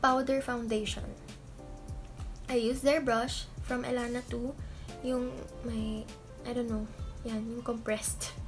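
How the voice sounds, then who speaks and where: A woman's fairly high voice at a fairly slow pace, with clear music in the background. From Philippines. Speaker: beauty vlogger. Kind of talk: casual makeup tutorial to camera. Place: home room. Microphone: webcam.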